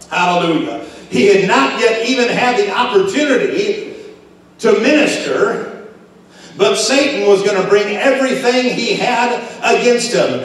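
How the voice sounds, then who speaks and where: A man's extremely high voice with lively intonation, a fairly slow pace and strong room echo. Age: 50s. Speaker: pastor; preacher. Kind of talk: sermon. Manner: halting. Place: church.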